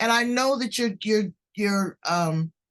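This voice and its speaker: A woman with an American accent talks at a fairly slow pace in an unremarkable speaking voice, with ordinary pitch variation. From US West Coast, South Central Los Angeles. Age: 60s. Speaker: podcast host. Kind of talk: interview podcast.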